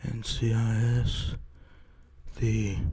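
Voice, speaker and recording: Soft-spoken, a man talks quietly. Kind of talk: ASMR haul video, casual talk to camera.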